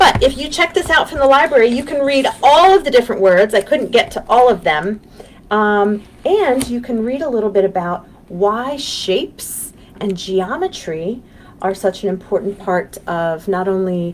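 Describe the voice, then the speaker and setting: Using an American accent, a woman talks at a moderate pace with a fairly high pitch, a gentle tone, and very wide pitch swings. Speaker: children's librarian. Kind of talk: children's storytime. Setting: livestream from office. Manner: hesitant, many fillers; gentle, encouraging.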